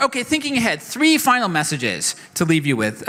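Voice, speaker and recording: A man's voice with a bright, sharp tone. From not New York. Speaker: keynote speaker on blockchain. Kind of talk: conference keynote. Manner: fast.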